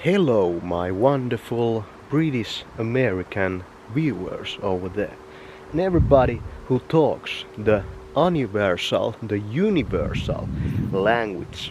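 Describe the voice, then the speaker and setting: Over noticeable background noise, a man with a Finnish accent and medium pitch speaks fairly slowly with lively intonation. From Finland. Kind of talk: casual vlog talk to camera. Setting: outdoors.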